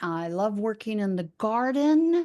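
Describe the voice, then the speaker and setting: Over a quiet background, a woman speaks at a very slow pace. Her pitch is medium and her intonation lively. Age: 60s. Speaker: retired MS ambassador. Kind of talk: podcast interview. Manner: casual, hesitant with fillers.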